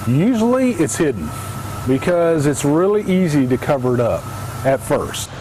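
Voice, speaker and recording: A man with an American accent and a fairly high pitch, with very wide pitch swings, long, frequent pauses and noticeable background noise. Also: moderate pace, very even loudness. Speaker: television news reporter. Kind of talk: broadcast news reporting, live shots and packages.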